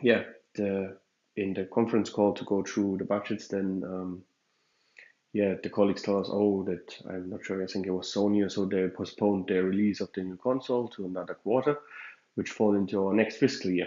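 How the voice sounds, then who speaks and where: A man's fairly quick speech with fairly even intonation. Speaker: podcaster. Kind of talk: casual monologue podcast. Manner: fast; hesitant, many fillers.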